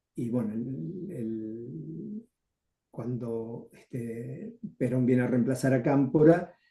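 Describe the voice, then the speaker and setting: A man's medium-pitched, somewhat breathy voice with a dark, mellow tone and lively intonation, at a very slow pace. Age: 70s. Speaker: retired journalist and former left-wing activist. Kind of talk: interview.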